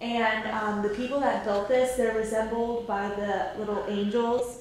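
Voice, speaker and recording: At a fairly slow pace and with fairly even intonation, the speech carries strong room echo over light background noise. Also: woman. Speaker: friend acting as tour guide. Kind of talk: casual informal explanation. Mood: light, joking. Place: hall.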